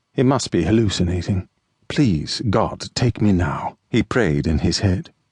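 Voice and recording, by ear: The background is quiet while a person is reading aloud in a natural voice.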